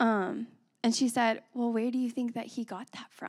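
A woman speaks with an American accent at a moderate pace, her pitch fairly high. It's an unremarkable speaking voice on a very clean recording with a silent background. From West Texas (Abilene). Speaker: pastor's wife, preacher. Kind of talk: sermon. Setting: church. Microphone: handheld mic, maybe held too far.

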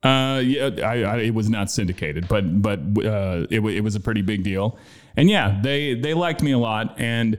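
This man has an unremarkable speaking voice at a fairly low pitch. He keeps a moderate pace with ordinary pitch variation. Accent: American. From Austin, Texas. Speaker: former radio host. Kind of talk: casual chat. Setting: studio.

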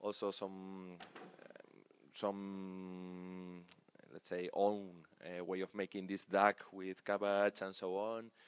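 A man with a Spanish accent and very deep, low pitch speaks at a very slow pace with monotone, flat intonation and long, frequent pauses. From Spain, Pamplona (Navarra). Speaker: national team sports director and coach. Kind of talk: interview. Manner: halting.

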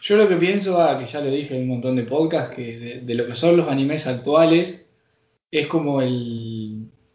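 A man talks at a moderate pace with a fairly high pitch and ordinary pitch variation. His loudness swings widely. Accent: Rioplatense. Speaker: podcast host. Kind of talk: casual chat.

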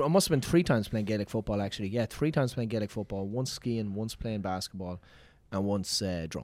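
Talking at a very fast pace, a man with a fairly low pitch speaks in an Irish accent. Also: ordinary pitch variation. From Ireland. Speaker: comedian. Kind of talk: casual chat.

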